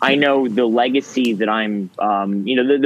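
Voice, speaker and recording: An ordinary speaking voice from a man at medium pitch, with ordinary pitch variation. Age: young. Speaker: podcast host. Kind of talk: casual chat. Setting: video call.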